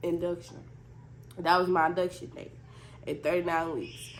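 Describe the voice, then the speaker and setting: A woman's fairly low voice with vocal fry. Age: 20s. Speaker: new mother, vlogger. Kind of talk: casual storytime talk to camera.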